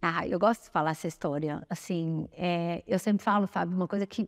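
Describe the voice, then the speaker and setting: A woman's unremarkable speaking voice, fairly low in pitch, at a fairly quick pace with ordinary pitch variation, dry and close with no echo, over a quiet background. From Brazil, São Paulo. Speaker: nutritionist. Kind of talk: interview.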